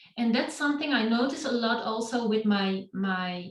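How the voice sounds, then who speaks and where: A woman speaks in a somewhat breathy voice. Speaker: yoga teacher. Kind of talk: talk to online meetup. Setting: online session.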